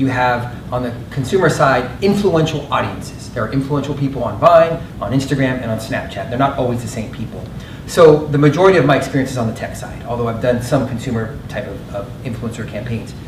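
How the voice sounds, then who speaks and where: A man at a medium pitch with ordinary pitch variation, a fairly quick pace, audible room echo and noticeable background noise. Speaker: marketing panelist. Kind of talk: panel discussion. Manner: fast.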